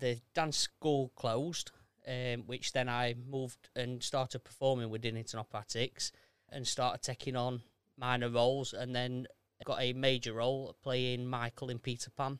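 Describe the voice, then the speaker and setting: In a Yorkshire accent, a man speaks at medium pitch in a monotone, flat intonation. The sound is dry and close, with no echo. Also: moderate pace. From South Yorkshire, Sheffield area. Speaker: amateur theatre performer. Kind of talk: casual chat.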